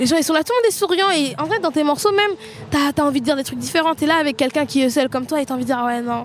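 With music playing in the background, the speaker talks at a very fast pace with lively intonation. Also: woman. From Seine-Saint-Denis, Paris suburbs. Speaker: rapper. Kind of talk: post-concert interview.

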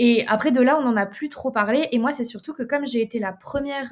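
Recorded very cleanly against a silent background, a woman with an ordinary speaking voice talks at a fairly high pitch with ordinary pitch variation. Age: 20s. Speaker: entrepreneur. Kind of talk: casual interview.

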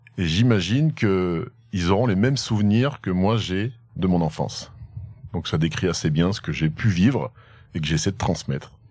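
A man talks at a moderate pace with a very deep, low pitch and lively intonation. The recording is very clean, with a silent background. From France, Haute-Loire. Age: 30s. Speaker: entrepreneur and barbecue team founder. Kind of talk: casual interview. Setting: outdoors in the countryside.

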